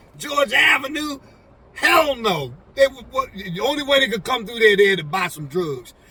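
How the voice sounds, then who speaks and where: Someone is shouting with very wide pitch swings at a moderate pace. Noticeable background noise sits behind the voice. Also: man, extremely high pitch for a man. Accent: American. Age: 60s. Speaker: go-go musician, former drug dealer. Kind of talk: casual chat. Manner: halting, many fillers.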